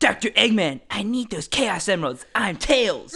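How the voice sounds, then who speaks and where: This put-on character voice sits at a fairly high pitch and moves at a moderate pace. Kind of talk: comic overacting. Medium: comedy sketch.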